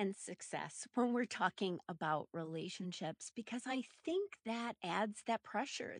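A woman with an American accent speaks slowly in an ordinary speaking voice, fairly high and with lively intonation. The background is quiet and the sound is dry and close, with no echo. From US Midwest, Minneapolis, Minnesota. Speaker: relationship researcher and therapist. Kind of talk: interview.

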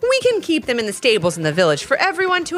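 Over noticeable background noise, a woman speaks at a very fast pace with very wide pitch swings. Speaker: podcast storyteller. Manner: animated, storytelling tone with character voices; warm, gentle, directed at kids.

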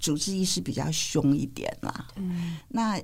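A woman with a fairly low pitch and a somewhat breathy voice uses lively intonation on a very clean recording with a silent background. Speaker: physician and public health scholar. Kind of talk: interview conversation. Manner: hesitant with fillers and laughter.

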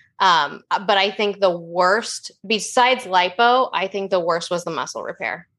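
A woman with an American accent speaks in a medium pitch with a bright, sharp tone, keeping a fairly slow pace with ordinary pitch variation and hardly any pauses. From US Pacific Northwest, Oregon. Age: 30s. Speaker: weight-loss story guest. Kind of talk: casual podcast interview.

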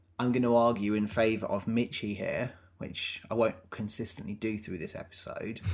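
A man talks at a moderate pace with medium pitch. His intonation is monotone and flat. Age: 30s. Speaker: podcast co-host. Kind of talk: casual chat.

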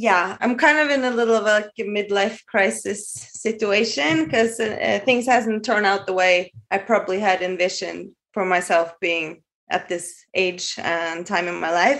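A woman talks at a moderate pace with a Norwegian accent. Her voice is medium in pitch with ordinary pitch variation. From Norway. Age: 40s. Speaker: caller. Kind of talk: casual chat.

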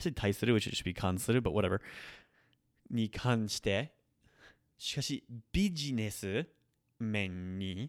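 Pausing long and often at a moderate pace, a man with a Nagoya accent and fairly low pitch uses ordinary pitch variation, on a very clean recording with a silent background and a dry, close sound with no echo. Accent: Nagoya-area accent when speaking Japanese. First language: not Japanese; learned it as a second language. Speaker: Japanese language teacher, podcast host. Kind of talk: tutorial. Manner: casual, with frequent fillers and self-corrections.

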